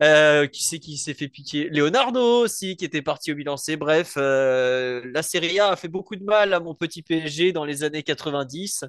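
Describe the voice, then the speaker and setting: With a normal speaking voice, a man talks at a fairly slow pace and fairly high pitch, with ordinary pitch variation, a dry, close sound with no echo, and a quiet background. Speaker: football podcaster. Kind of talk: casual chat.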